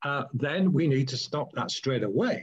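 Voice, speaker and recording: A somewhat breathy man's voice, fairly high in pitch, with very wide pitch swings. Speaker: law professor. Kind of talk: conference talk. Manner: fast; animated.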